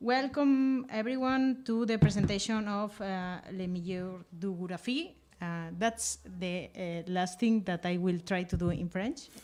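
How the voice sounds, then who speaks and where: A woman speaks at a medium pitch. Her pace is very slow. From Catalonia, Spain (Lleida). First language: Catalan or Spanish. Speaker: event host and interviewer. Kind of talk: live public conversation at a book presentation. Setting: room with live audience, livestreamed. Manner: halting, hesitant with many fillers.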